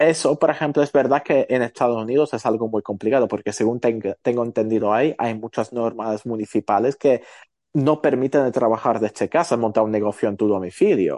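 A man with a medium pitch talks fairly quickly in a dark, mellow tone, with ordinary pitch variation. The recording is dry and close with no echo, and the background is quiet. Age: 30s. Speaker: photographer and entrepreneur. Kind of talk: casual interview chat.

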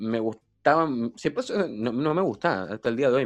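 In a Chilean accent, a man speaks at a moderate pace with a medium pitch and ordinary pitch variation against a quiet background. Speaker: DJ and party organizer. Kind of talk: casual chat.

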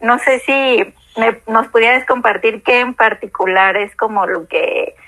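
Speaking in a Mexican accent, a woman with a fairly high pitch talks at a fairly slow pace and keeps her intonation fairly even. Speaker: podcast host. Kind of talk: casual chat.

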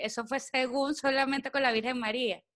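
Quick-paced and monotone, a woman speaks with a high pitch and a bright, sharp tone. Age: 30s. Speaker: podcast co-host. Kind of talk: casual chat.

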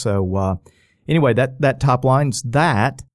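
A man with an American accent talks at a moderate pace on a very clean recording with a silent background. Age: 50s. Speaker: business leader. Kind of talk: interview. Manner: halting.

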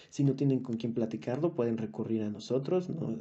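A man speaks with a Mexican accent. His voice is medium in pitch. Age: 20s. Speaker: podcast co-host. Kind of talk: casual monologue.

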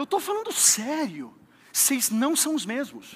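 The man's tone is animated. Noticeable noise sits in the background. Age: 30s. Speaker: pastor. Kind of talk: sermon. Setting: church with congregation.

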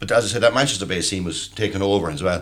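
Speaking very fast, a man talks in an Irish accent. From Ireland. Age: 50s. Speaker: podcast panelist. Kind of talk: casual chat.

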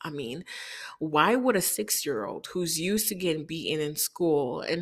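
Here a woman uses a normal speaking voice, fairly low in pitch with ordinary pitch variation. She speaks at a fairly slow pace in a very clean recording with a silent background. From Haiti, moved to Chicago at six. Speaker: podcast host. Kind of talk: personal storytelling monologue.

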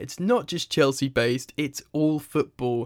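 A man with a plain, everyday voice speaks at a moderate pace with ordinary pitch variation in a very clean recording with a silent background. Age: 30s. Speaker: football podcast host. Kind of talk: casual chat.

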